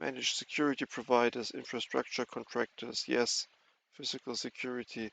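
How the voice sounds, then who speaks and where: A man with a non-native accent, in a dry, close sound with no echo. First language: not English. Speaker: cybersecurity educator. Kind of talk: tutorial. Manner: halting.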